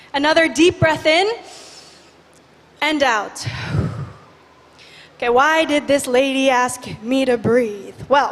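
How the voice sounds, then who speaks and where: A woman speaks at a high pitch and a very slow pace, with long, frequent pauses, ordinary pitch variation and very even loudness. Audible room echo and noticeable background noise are present. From Indonesia, Bali. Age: 20s. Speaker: youth activist. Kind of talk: conference talk. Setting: stage with audience. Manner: energetic.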